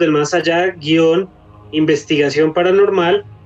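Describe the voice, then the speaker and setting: A man's high-pitched voice comes through with noticeable background noise. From Colombia. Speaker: paranormal investigator. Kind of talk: casual chat.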